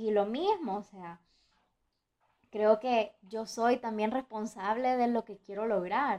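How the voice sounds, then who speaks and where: A woman's fairly high voice at a very slow pace, with fairly even intonation and big swings in loudness. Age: young (19). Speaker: podcaster. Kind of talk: casual monologue.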